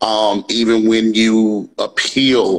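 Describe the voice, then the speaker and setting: In a Mississippi accent, a man speaks at a medium pitch with monotone, flat intonation. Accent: Mississippi Southern US. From US South, Natchez, Mississippi. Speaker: comedian. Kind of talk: interview. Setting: live stream. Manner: loud.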